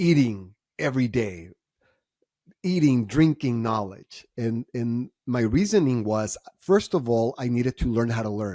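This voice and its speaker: A man speaks at a medium pitch with a Spanish accent, his tone dark and mellow. The pace is fairly slow, the intonation lively, and the sound dry and close with no echo. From Mexico, Tijuana. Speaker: entrepreneur and author. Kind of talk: podcast interview.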